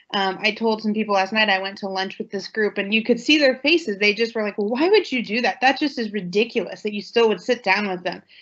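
A woman with an American accent speaks with a fairly high pitch and ordinary pitch variation. The background is quiet. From central Ohio. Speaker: township trustee; panelist. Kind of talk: panel discussion. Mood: earnest, reflective. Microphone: video call.

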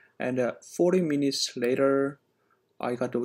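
Someone speaks at a very slow pace over a quiet background. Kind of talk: casual explanatory commentary. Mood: concerned. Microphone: phone near.

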